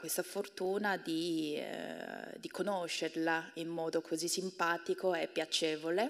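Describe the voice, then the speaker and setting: A woman with a Korean accent at a very slow pace, against a quiet background. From South Korea. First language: Korean (speaking Italian). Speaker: university professor and translator; university professor. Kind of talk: public talk. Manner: halting. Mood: warm, smiling. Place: stage. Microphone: handheld.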